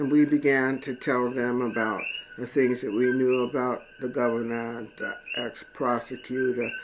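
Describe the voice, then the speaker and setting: Moderate pace against noticeable background noise. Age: 60s. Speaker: political video blogger. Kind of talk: personal testimony monologue. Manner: casual, halting with fillers.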